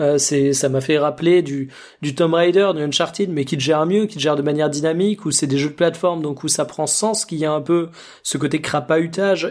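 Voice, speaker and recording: An ordinary speaking voice from a man, fairly high in pitch with ordinary pitch variation, at a fairly quick pace on a very clean recording with a silent background. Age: 20s. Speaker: video game podcast co-host. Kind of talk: casual chat.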